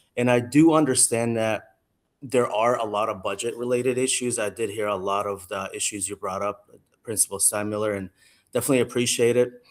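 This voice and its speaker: A man speaks at a fairly quick pace with an Arabic accent and fairly even intonation, on a very clean recording with a silent background. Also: medium pitch for a man. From Jordan. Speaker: parent giving public comment. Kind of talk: public comment at school council meeting.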